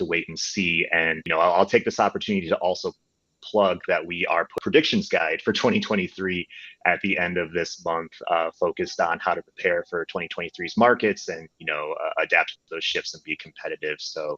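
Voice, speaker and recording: The sound is dry and close with no echo as a man speaks in a Chicago accent at a fairly quick pace. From US Midwest, Chicago. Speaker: data company representative. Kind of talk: panel discussion.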